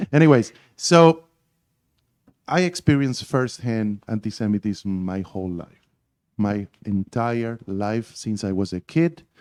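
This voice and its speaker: A man with an Argentine accent, fairly low pitch, lively intonation and a moderate pace, in a dry, close sound with no echo. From Argentina. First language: Spanish. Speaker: class participant. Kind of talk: group discussion.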